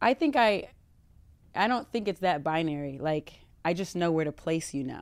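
A woman speaks in a normal speaking voice at a fairly low pitch and a moderate pace. Her intonation is lively, and the recording is very clean with a silent background. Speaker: dating show guest. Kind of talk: casual chat.

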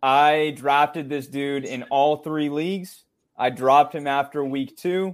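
There is an ordinary speaking voice here from a man. He talks at a fairly slow pace with a fairly high pitch. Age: 20s. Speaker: sports podcast co-host, fantasy football analyst. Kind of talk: casual chat.

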